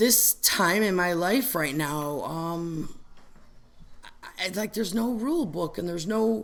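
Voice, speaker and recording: This voice moves at a fairly slow pace with ordinary pitch variation, and there is audible room echo. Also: woman. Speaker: recovery meeting member sharing. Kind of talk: testimony. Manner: loud; animated.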